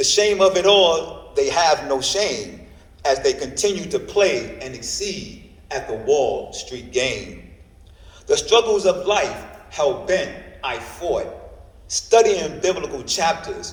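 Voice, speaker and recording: A man speaks at a very slow pace in an American accent, with noticeable background noise behind him. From New York. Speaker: poet. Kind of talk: spoken word poetry performance. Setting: library reading.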